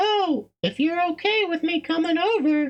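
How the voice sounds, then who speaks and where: A squeaky, put-on character voice at extremely high pitch speaks at a moderate pace. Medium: game stream. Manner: warm, gentle.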